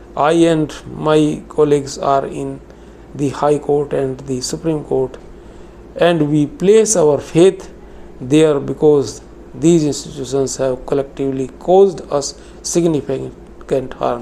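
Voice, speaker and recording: Noticeable background noise plays beneath speech delivered very slowly. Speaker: retired banker and pensioner activist. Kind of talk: reading aloud a prepared statement. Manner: formal.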